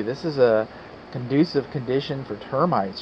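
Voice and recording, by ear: Faint background noise sits under a man's voice. He talks at a moderate pace with a medium pitch.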